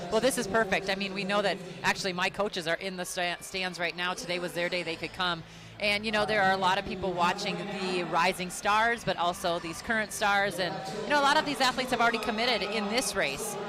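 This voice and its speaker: Over music in the background, a woman with a Minnesotan accent talks at a very fast pace with ordinary pitch variation. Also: medium pitch for a woman. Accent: Minnesota. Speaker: track commentator, former college runner. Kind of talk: live commentary.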